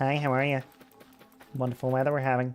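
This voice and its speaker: A put-on character voice with low-to-middle pitch rattles along at a very fast pace in a flat, monotone delivery. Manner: cheerful.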